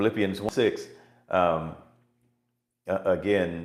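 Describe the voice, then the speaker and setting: A man's voice is heard with audible room echo. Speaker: preacher. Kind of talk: sermon.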